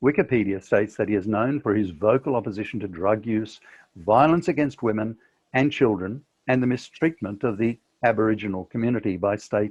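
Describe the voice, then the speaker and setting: A man with an Australian accent speaks at a fairly low pitch. His pace is fairly quick, with ordinary pitch variation. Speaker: author and podcaster. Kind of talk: reading aloud from own book.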